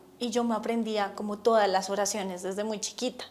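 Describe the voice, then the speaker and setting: With music in the background, a woman speaks at a fairly quick pace and a fairly high pitch. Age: 40s. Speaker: religious testimony speaker. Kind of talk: testimony.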